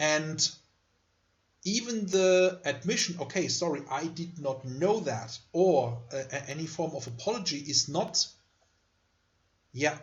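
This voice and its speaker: A man with a German accent speaks at a fairly slow pace, leaving long, frequent pauses. His fairly high voice has lively intonation. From Germany. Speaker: university lecturer. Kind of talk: lecture.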